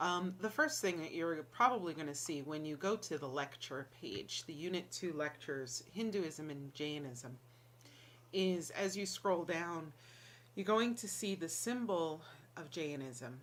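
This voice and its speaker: This speaker has an American accent and lively intonation, moving at a fairly slow pace. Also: woman, fairly low pitch for a woman. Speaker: college instructor. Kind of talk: lecture. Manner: casual, with many fillers.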